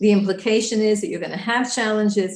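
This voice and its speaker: Somewhat breathy and very fast, a woman speaks in an American accent with ordinary pitch variation. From New York. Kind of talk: lecture.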